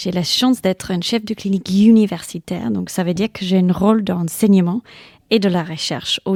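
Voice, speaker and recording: A woman with an English accent speaks at a fairly quick pace, her intonation fairly even and her tone dark and mellow. The recording is very clean, with a silent background and a dry, close sound free of echo. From England. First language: English (speaking French). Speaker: general practitioner and medical lecturer. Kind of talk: interview. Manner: hesitant, with fillers.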